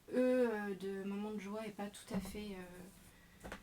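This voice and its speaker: Over noticeable background noise, a woman speaks very slowly at a medium pitch in a monotone, flat intonation. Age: 40s. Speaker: scrapbooking demonstrator. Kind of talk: craft tutorial. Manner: hesitant, many fillers.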